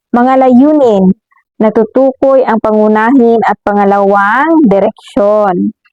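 Fairly high in pitch, a woman speaks at a very slow pace with ordinary variation. The sound is dry and close, with no echo. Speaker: elementary school teacher. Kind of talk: lesson for children.

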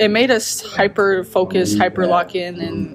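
A woman's voice over noticeable background noise. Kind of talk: interview answer. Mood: calm, upbeat after win. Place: hall.

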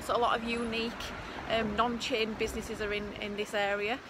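A woman speaks at a moderate pace, her voice dry with no echo and noticeable noise in the background. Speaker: property investment vlogger. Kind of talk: casual vlog chat. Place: street. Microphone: phone near.

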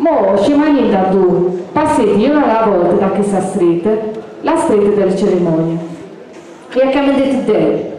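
A woman with an Apulian accent talks at a fairly slow pace, with long, frequent pauses, lively intonation and very even loudness. Strong room echo fills the recording, along with light background noise. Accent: Apulian, Giovinazzo dialect. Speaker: dialect poet. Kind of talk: poetry reading. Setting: outdoors, live event.

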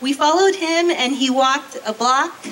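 In an American accent, a woman uses a raised, projected voice at a high pitch, speaking at a fairly slow pace with ordinary pitch variation over light background noise. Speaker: university professor. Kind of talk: ceremony speech. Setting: stage with audience. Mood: warm, friendly. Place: stage. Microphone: handheld.

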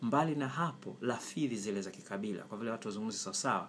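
There is light background noise. A man speaks at a fairly quick pace. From Tanzania, Kilimanjaro (Chagga area); Tanzania. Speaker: writer and language commentator. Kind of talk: opinion monologue. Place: kitchen. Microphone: phone near.

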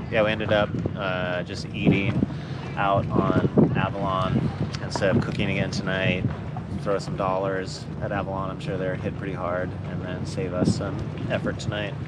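A man holds a moderate pace as loud background noise surrounds his voice. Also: ordinary pitch variation. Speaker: sailing vlogger. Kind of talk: casual vlog chat. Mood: relaxed, content. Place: boat. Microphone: camera far.

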